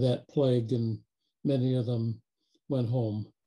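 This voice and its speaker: The voice is somewhat breathy, with a dark, mellow tone. It moves at a very slow pace. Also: man. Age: 70s. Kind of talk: group video call discussion.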